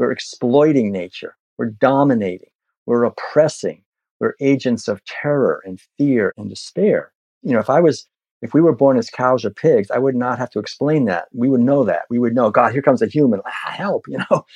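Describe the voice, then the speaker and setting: With an ordinary speaking voice, a man talks at a moderate pace and medium pitch with ordinary pitch variation, the sound dry and close with no echo over a quiet background. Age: 60s. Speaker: vegan activist and author. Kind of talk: interview conversation.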